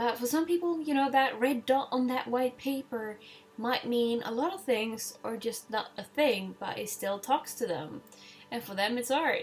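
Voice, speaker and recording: A woman speaks in a high pitch with a Swedish accent. There is noticeable background noise. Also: ordinary pitch variation, moderate pace. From Sweden. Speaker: digital artist. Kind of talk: casual voice-over commentary on own artwork. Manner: halting, with fillers.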